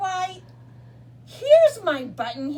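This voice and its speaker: In a put-on character voice, this woman sounds squeaky and extremely high-pitched. Her pitch jumps up and down very widely. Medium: read story. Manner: wondering, innocent.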